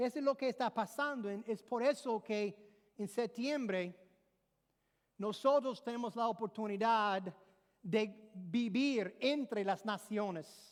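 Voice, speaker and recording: A woman with an English accent, fairly high in pitch with ordinary variation, at a very slow pace. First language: English (speaking Spanish). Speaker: pastor. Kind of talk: sermon.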